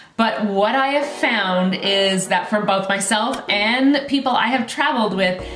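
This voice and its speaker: A woman talks at a moderate pace, with audible room echo. Clear music plays in the background. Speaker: wellness coach. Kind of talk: tips vlog talk to camera. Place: home room.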